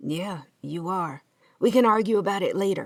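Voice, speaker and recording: Putting on a character voice, a woman sounds raspy at medium pitch, speaking at a moderate pace with ordinary pitch variation. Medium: read story. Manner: gruff, blunt.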